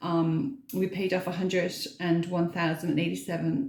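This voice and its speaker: In a room with audible echo, a woman speaks quietly and somewhat breathily at a medium pitch and a moderate pace. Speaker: frugal living vlogger. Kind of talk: casual vlog talk to camera. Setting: bathroom at home.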